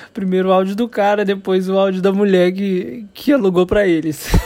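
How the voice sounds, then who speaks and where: There is noticeable background noise as a man with a high pitch talks at a moderate pace. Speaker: podcaster. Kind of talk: casual monologue. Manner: laughing; hesitant.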